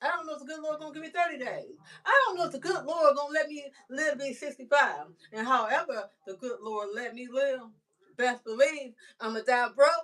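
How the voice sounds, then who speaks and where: In an animated tone, a woman speaks at a high pitch and fairly quick pace, with ordinary pitch variation and big swings in loudness. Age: 60s. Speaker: livestreamer. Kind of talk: casual livestream monologue. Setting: live stream.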